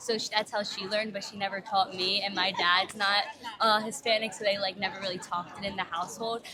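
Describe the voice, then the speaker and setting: In an American accent, a woman with a medium pitch speaks very fast in a monotone, flat delivery over noticeable background noise. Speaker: tourist. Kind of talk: street interview.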